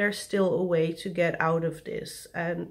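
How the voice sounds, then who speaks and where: A woman with a non-native accent. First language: not English. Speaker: vlogger. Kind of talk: personal vlog confession. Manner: slow; halting.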